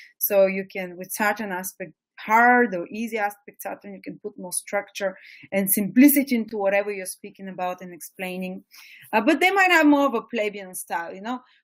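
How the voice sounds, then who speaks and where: A woman's voice with ordinary pitch variation and big swings in loudness. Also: medium pitch for a woman, fairly quick pace. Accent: strong Eastern European. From Bulgaria, small provincial town. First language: Bulgarian. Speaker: astrology teacher. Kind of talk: webinar lecture. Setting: webinar.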